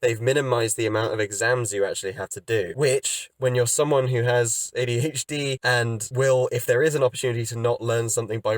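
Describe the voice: At a fairly quick pace, a man talks at a medium pitch.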